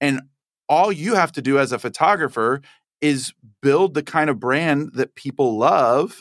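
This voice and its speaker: An ordinary speaking voice with an American accent and ordinary pitch variation comes through dry and close with no echo, on a very clean recording with a silent background. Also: man. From Texas. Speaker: photographer and educator. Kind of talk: interview conversation.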